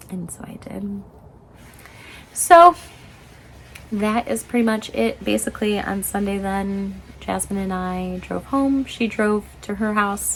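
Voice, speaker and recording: The speech comes at a very slow pace with long, frequent pauses, fairly even intonation, a somewhat breathy quality and big swings in loudness. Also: woman, medium pitch for a woman. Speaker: knitting vlogger and professor. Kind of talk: casual vlog chat. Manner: halting, lots of fillers.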